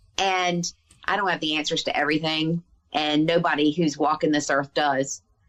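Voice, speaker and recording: A woman's very deep, low voice in a Southern US accent, at a moderate pace, with very even loudness and monotone, flat intonation. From US South. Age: 50s. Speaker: author and healer. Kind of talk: podcast interview conversation.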